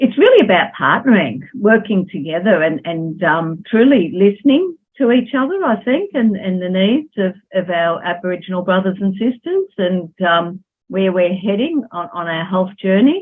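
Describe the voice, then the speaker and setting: A woman talks at a moderate pace with hardly any pauses. Her intonation is lively. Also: medium pitch for a woman. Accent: Australian. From Australia, Melbourne. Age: 60s. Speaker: social worker. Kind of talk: interview.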